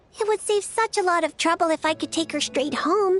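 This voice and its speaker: In a put-on character voice, a woman squeaks at an extremely high pitch and a fairly quick pace while faint music plays in the background. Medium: game stream. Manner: fast, bubbly.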